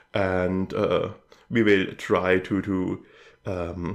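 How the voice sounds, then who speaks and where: A man with a German accent speaks at a very deep, low pitch against a quiet background. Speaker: YouTube channel host. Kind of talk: channel update talk to camera. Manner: hesitant with many fillers.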